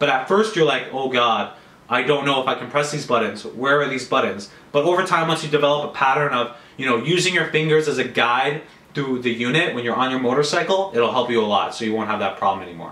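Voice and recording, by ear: A man talks fast, with few pauses, in a bright, sharp tone at medium pitch and ordinary pitch variation. Room echo is audible.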